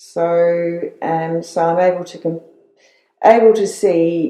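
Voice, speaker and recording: Dark and mellow in tone, a woman with an Australian accent speaks at a fairly low pitch. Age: 60s. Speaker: retired nurse. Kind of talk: interview. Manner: halting.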